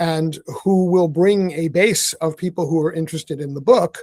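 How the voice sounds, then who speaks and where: Here a man with an American accent speaks at a high pitch with fairly even intonation. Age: 60s. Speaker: author and activist. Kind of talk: casual chat.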